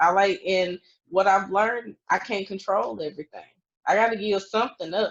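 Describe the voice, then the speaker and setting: A woman's moderate-paced, medium-pitched delivery in an unremarkable speaking voice, with fairly even intonation. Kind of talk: casual chat.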